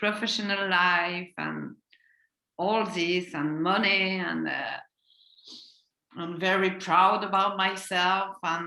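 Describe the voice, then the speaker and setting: Speaking in a French accent, a woman with a medium-pitched, bright and sharp voice delivers flat, monotone intonation at a very slow pace with long, frequent pauses. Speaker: guest coach. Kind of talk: video call interview. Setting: video call. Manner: halting.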